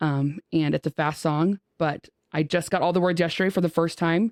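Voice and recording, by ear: In a very clean recording with a silent background and a dry, close sound with no echo, a woman speaks at a moderate pace in a low, slightly mellow voice with fairly even intonation.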